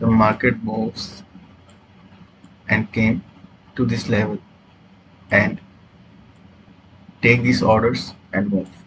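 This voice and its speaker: A man with a non-native accent, fairly low pitch, monotone and flat intonation, a very slow pace, and long, frequent pauses. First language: not English. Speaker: trading educator. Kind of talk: tutorial. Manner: halting, many fillers.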